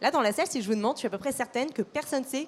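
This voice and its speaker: This is a woman's voice. Her intonation is lively. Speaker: customer service manager at a mutual insurer. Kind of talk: panel discussion. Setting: conference stage with audience. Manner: hesitant, many fillers.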